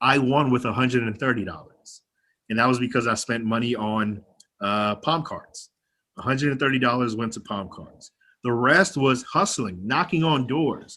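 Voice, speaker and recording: With a bright, sharp tone, a man speaks at a medium pitch and moderate pace, using ordinary pitch variation. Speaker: county legislator. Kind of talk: panel talk. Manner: casual.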